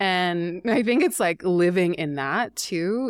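A plain, everyday voice with a Canadian accent and ordinary pitch variation. The sound is dry and close with no echo, on a very clean recording with a silent background. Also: woman. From Canada, rural British Columbia. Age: 40s. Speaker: astrologer and author. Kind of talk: casual interview chat.

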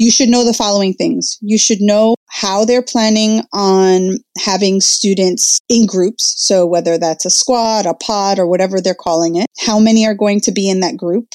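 In a dry, close recording with no echo, a woman with a dark, mellow tone speaks at a moderate pace with ordinary pitch variation. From northern New Jersey, Jersey City. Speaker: educator and influencer. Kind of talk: interview.

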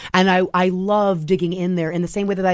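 A woman speaks in an American accent with an ordinary speaking voice. Her medium pitch moves at a moderate pace over a quiet background. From US Mid-Atlantic, Maryland. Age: 30s. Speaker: screenwriter and director. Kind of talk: interview.

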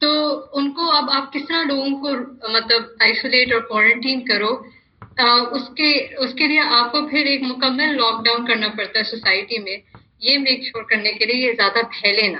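Her pitch high, a woman talks with ordinary variation in pitch. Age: 30s. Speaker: business professor. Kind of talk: panel discussion.

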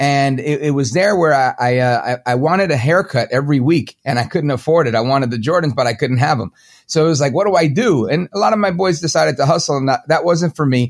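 A very fast delivery in a New York accent with hardly any pauses and ordinary pitch variation, against a quiet background. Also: man, fairly high pitch for a man. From Brooklyn, New York. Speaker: talk show host. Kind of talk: interview.

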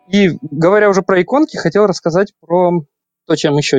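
Fairly quick speech in a dry, close sound with no echo. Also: man. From Ukraine, Kyiv. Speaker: game data analyst. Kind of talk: podcast panel discussion.

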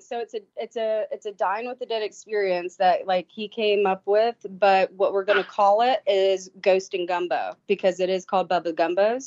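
At a moderate pace and with few pauses, a woman speaks in a medium pitch with a slightly mellow tone. Her intonation stays fairly even, and the sound is dry and close with no echo.

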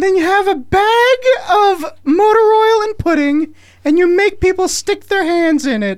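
An extremely high-pitched, put-on character voice. The pace is moderate.

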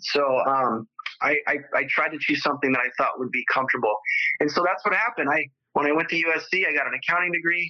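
This man talks very fast in a Californian accent. His pitch is fairly high, with ordinary variation. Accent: Californian American. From Southern California, San Fernando Valley. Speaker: entrepreneur with spinal cord injury. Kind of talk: interview conversation. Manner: repetitive, halting with fillers.

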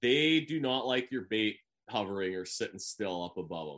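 A man with a Canadian accent speaks at a moderate pace with vocal fry and very wide pitch swings. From Canada. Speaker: professional bass angler. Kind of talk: interview.

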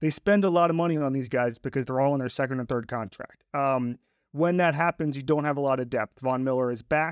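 An ordinary speaking voice moves at a fairly quick pace with ordinary pitch variation. The sound is dry and close with no echo, over a quiet background. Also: man, fairly high pitch for a man. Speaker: sports journalist guest. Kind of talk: casual sports analysis chat.

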